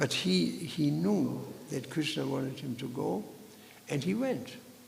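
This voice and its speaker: A man talks over noticeable background noise. Audible room echo fills the recording. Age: 70s. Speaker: Hare Krishna preacher. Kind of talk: scripture lecture. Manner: halting, many fillers.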